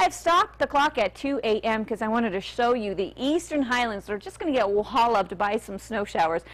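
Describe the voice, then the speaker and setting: Speaking fairly quickly with hardly any pauses, a woman with an American accent uses an unremarkable speaking voice, a fairly high pitch and lively intonation. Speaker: TV weather forecaster / meteorologist. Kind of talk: TV weather broadcast. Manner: clear, upbeat on-air delivery.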